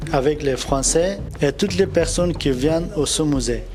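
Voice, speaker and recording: A man with a fairly high pitch and ordinary pitch variation speaks at a fairly slow pace. Audible room echo and noticeable background noise surround him. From Afghanistan. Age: 20s. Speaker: refugee, trainee mechanic. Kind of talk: testimony. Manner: halting, hesitant.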